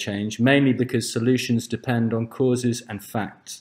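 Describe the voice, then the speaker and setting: At a moderate pace, a man with a normal speaking voice talks at medium pitch. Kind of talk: conference lecture.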